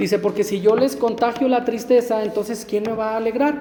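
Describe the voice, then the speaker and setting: A man at a high pitch and a fairly quick pace, with noticeable background noise and audible room echo. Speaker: lay preacher. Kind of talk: sermon. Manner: stammering at times.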